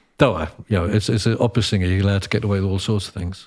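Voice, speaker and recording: A man's somewhat breathy, fairly low voice in a very clean recording with a silent background. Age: 60s. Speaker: conductor, composer and opera singer. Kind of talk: casual chat.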